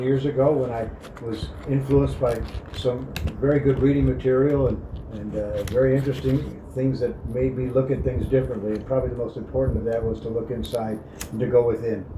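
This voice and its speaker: With noticeable background noise and audible room echo, a man at medium pitch talks at a fairly quick pace in a monotone, flat intonation. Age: 60s. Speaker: spiritual life advice giver. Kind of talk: casual reflective monologue.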